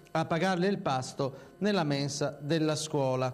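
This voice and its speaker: A man speaks with ordinary pitch variation. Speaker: TV news journalist. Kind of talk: local TV news bulletin read.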